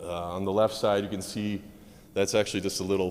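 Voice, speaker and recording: A man's very deep, low voice with an American accent and fairly even intonation. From United States. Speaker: medical physicist, conference speaker. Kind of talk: conference talk. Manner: fast.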